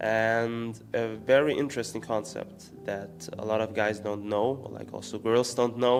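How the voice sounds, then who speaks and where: With a German accent, a man at medium pitch talks at a fairly slow pace with lively intonation while music plays in the background. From Austria. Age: 20s. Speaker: entrepreneur and spirituality vlogger. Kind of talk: casual explainer monologue. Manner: hesitant, many fillers.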